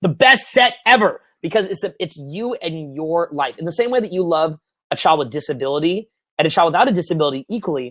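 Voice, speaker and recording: Pitched high, a man talks at a very fast pace with lively intonation and an animated tone. The sound is dry and close, with no echo. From Canada (Ontario). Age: 30s. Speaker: dating coach. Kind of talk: webinar Q&A.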